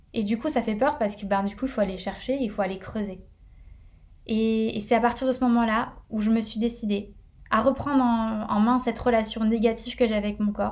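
Somewhat breathy, a woman speaks at a moderate pace. Her intonation stays monotone and flat. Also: fairly high pitch for a woman. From northern France. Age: 20s. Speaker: podcast host. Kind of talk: personal monologue. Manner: casual with many fillers.

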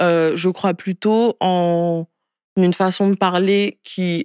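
A woman talks at medium pitch in a monotone, flat intonation, the sound dry and close with no echo on a very clean recording with a silent background. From France, Spain, Madagascar, Niger (mixed childhood). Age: 20s. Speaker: activist and entrepreneur. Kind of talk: interview. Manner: casual, with many fillers.

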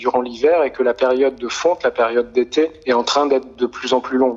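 Medium pitch from a man at a moderate pace, fairly even intonation, and noticeable background noise. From France, near Grenoble. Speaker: sound artist. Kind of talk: interview. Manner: halting.

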